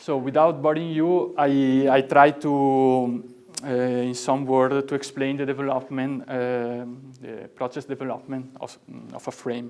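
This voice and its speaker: A man's medium-pitched voice, fairly slow in pace and monotone, with flat intonation. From Italy. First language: Italian. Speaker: product and graphic designer. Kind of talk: product presentation. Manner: halting.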